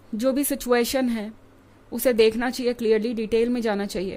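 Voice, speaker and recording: A woman talks fairly slowly in a fairly high voice. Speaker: tarot reader. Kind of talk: tarot reading. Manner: hesitant fillers (um, uh).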